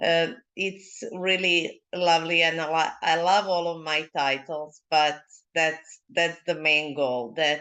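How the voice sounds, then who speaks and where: Over a quiet background, a woman with a Serbian accent speaks in a bright, sharp, fairly low voice with monotone, flat intonation. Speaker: leadership mentor. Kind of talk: interview. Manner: halting.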